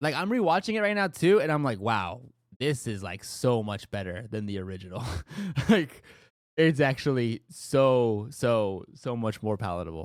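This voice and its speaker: At a medium pitch and moderate pace, a man talks in an animated tone with very wide pitch swings, on a very clean recording with a silent background. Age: 20s. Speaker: streamer. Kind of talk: casual chat.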